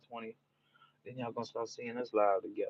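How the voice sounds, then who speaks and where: A man talks in a New Orleans accent at a medium pitch, with a relaxed tone. His intonation stays monotone and flat. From New Orleans, Louisiana (US South). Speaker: live streamer. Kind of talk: casual live-stream chat. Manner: relaxed, repetitive.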